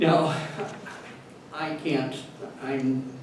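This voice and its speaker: A man's fairly high, monotone, flat voice with audible room echo and noticeable background noise. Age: 60s. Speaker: health tech company founder presenting. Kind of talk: presentation with slides. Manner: halting.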